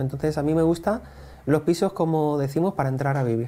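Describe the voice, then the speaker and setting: A man's voice with a dark, mellow tone, fairly quick pace and ordinary pitch variation. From Spain, Elche (Valencian Community); Valencian Community, Spain. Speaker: real estate investor; interview guest. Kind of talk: interview. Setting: in person. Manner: hesitant, many fillers. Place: cafe. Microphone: lapel.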